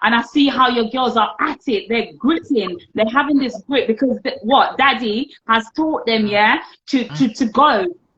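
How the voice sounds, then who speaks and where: At a moderate pace, a woman talks in an animated tone with a high pitch and ordinary pitch variation. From Jamaica. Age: 30s. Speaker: teacher and entrepreneur. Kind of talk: podcast interview.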